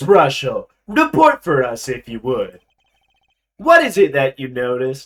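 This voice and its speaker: A man uses a put-on character voice with a smug, theatrical tone and fairly high pitch. His loudness swings widely at a moderate pace. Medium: game stream. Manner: smug, theatrical, says "end quote".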